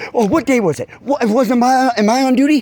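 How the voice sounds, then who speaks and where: A man speaks loudly in an animated tone. His pitch is extremely high. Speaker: citizen journalist filming police. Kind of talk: heated argument with police. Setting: outdoors at night on a porch.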